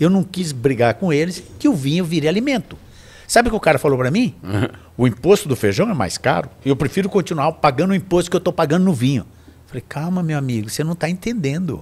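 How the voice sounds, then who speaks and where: Loudness swings widely as a man talks at a very fast pace. His pitch is fairly high and his intonation lively. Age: 60s. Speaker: wine association director; podcast guest. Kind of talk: casual chat. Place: studio. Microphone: studio mic.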